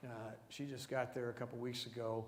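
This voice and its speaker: A man speaks at a medium pitch. The room echo is audible. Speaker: missionary reporting on a mission trip. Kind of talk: church presentation with slides. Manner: fast.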